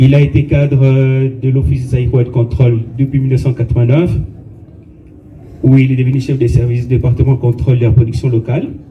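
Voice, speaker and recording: Monotone, flat intonation marks this man's fairly quick delivery. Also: medium pitch for a man. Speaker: colleague reading the deceased's biography at a funeral. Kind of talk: funeral eulogy, reading a biography.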